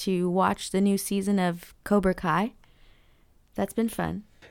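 A woman speaks in a normal speaking voice at medium pitch and a fairly slow pace. Her intonation is fairly even, on a very clean recording with a silent background. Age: 30s.

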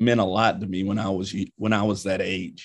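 Here a man talks at a moderate pace with an American accent. His pitch is fairly low and his intonation fairly even. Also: quiet background. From Kentucky (London, KY). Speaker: college basketball head coach. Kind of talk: interview.

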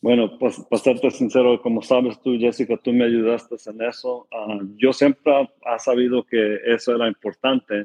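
A man talks at a moderate pace with hardly any pauses. His medium-pitched delivery is monotone, with flat intonation. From California, US. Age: 30s. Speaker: non-profit director. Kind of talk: interview testimony. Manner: halting, many repetitions and fillers.

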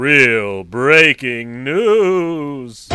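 A put-on character voice at a low-to-middle pitch. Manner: dramatic news-anchor delivery.

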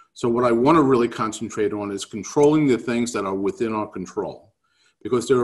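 With lively intonation, a man talks at a fairly quick pace in a New York accent. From New York City. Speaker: real estate economics speaker. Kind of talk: webinar presentation. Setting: video call.

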